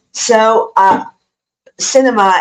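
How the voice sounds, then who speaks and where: Speaking with an Italian accent, a woman shows ordinary pitch variation. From Italy. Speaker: student and vlogger. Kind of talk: personal tribute monologue. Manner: halting, many fillers.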